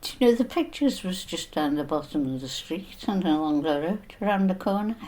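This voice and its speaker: A woman with a Liverpool accent, medium pitch, a fairly quick pace and very wide pitch swings. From northern England, Liverpool (Everton). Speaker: elderly interviewee sharing memories. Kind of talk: reminiscence interview.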